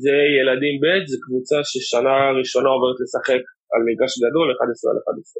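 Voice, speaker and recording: A man of medium pitch at a moderate pace, with fairly even intonation and very even loudness. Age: 30s. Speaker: youth football technical director. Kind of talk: interview conversation. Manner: halting, many repetitions.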